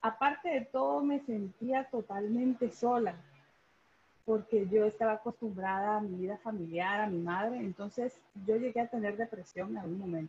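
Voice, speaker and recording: A woman with a fairly high pitch speaks at a moderate pace. Her voice is somewhat breathy, with ordinary pitch variation. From Guatemala City. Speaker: consular official. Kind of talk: personal testimony.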